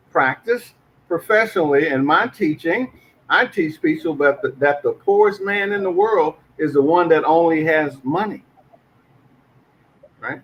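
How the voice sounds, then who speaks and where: A man with a high pitch, fairly slow pace, ordinary pitch variation and long, frequent pauses. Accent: American. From US South, Arkansas. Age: 60s. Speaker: podcast co-host and teacher. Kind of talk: casual discussion podcast.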